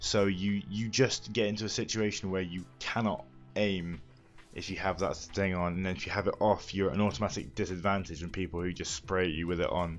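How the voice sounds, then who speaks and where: A man with a very deep, low pitch speaks in a deadpan tone with fairly even intonation at a fairly quick pace, with music in the background. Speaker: gaming news presenter. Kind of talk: casual talk to camera.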